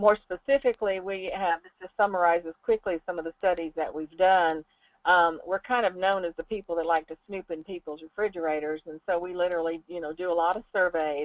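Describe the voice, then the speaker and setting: The speaker has a Southern US accent and moves at a fairly quick pace with hardly any pauses. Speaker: food safety researcher. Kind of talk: webinar presentation. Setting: online webinar. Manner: hesitant with many fillers.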